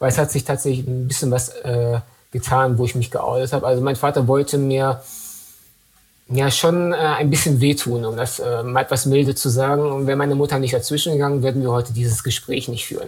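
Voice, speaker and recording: Somewhat breathy and medium in pitch, this man's voice moves at a fairly quick pace with monotone, flat intonation. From Dortmund, western Germany. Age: 30s. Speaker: MS patient and advocate. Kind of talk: interview.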